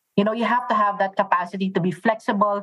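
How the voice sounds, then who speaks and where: A somewhat breathy woman speaking at a very fast pace. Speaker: patient experience executive. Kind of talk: interview.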